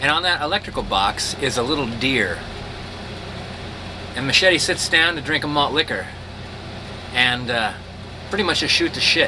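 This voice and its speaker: Man with a fairly high pitch and lively intonation at a moderate pace, long, frequent pauses, and noticeable background noise. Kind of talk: casual storytelling to camera.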